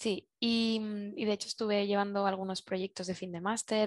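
A woman's voice of medium pitch at a moderate pace, fairly even in intonation, dry and close with no echo over a quiet background. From Spain, Zaragoza. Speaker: industrial designer, circular economy consultant. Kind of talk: interview. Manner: halting.

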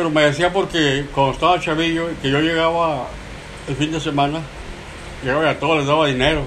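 A man speaks fairly quickly in a fairly high, monotone voice with flat intonation, leaving long, frequent pauses, with audible room echo and noticeable background noise. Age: 70s. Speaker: grandfather telling stories. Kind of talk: casual storytelling.

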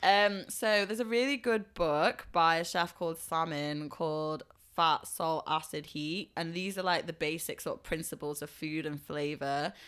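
On a very clean recording with a silent background, a woman talks at a moderate pace in an animated tone, her pitch fairly low with ordinary variation. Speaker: food influencer. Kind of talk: casual chat.

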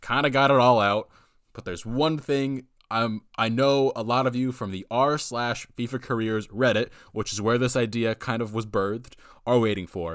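On a very clean recording with a silent background, a man speaks with an American accent. His pitch is medium with ordinary variation. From United States. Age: young. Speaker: podcast host, college student. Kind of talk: casual solo podcast monologue. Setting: home recording. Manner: animated.

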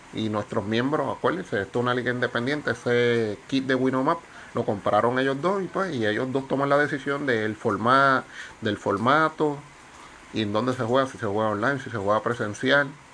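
A man has a plain, everyday voice at medium pitch. He talks at a moderate pace with ordinary pitch variation. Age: 40s. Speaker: tabletop game video host. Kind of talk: casual explainer video. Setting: outdoors on carport.

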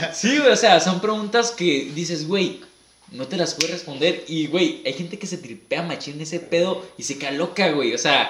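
With audible room echo and noticeable background noise, a man with a Mexican accent speaks at a moderate pace in a high pitch with ordinary pitch variation. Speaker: podcast co-host. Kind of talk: casual chat.

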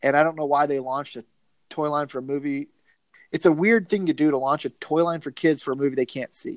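Very fast and fairly even in intonation, a man with a Southern US accent talks at a fairly high pitch. The sound is dry and close with no echo, against a quiet background. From US South, Georgia. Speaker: podcast host, video store movie fan. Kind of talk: casual chat. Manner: joking, profane.

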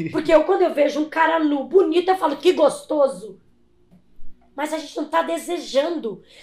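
Her voice sits at an extremely high pitch with ordinary variation. The woman keeps a moderate pace. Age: 40s. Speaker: body modification artist and competition judge. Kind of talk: casual chat. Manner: animated.

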